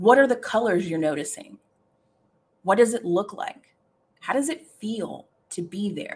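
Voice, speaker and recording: A woman talks with very wide swings in pitch. Her voice is somewhat breathy. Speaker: live podcast host and career coach. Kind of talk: guided meditation. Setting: live stream with chat. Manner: coaxing, inviting, slow and rhythmic, repeating the cues.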